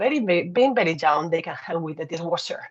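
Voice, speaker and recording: A woman with a Spanish accent, fairly low pitch and ordinary pitch variation. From Spain. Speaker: telecom engineer and manager. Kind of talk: conference talk.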